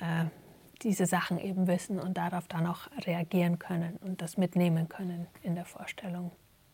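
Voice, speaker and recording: Somewhat breathy with a dark, mellow tone, a woman speaks at a medium pitch and moderate pace in a monotone, flat way. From Germany. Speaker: stage actor and dramaturge. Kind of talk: interview. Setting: theatre. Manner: halting, many fillers.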